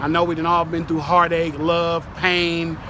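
Recorded dry with no echo over noticeable background noise, a man with an American accent speaks at a fairly quick pace in a high pitch. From California, Bay Area; California. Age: 30s. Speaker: DJ and music producer; DJ. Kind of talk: street interview. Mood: calm, earnest. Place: street.

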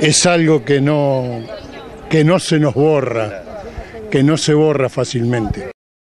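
Over crowd noise in the background, a man speaks at a very slow pace in a dry sound with no echo. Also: ordinary pitch variation. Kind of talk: interview answer. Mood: emotional, nostalgic. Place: open country. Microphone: handheld.

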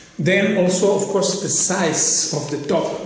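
A man's voice comes with audible room echo over light background noise. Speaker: guitar seller or maker. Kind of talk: product demonstration. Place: home room. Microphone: phone near.

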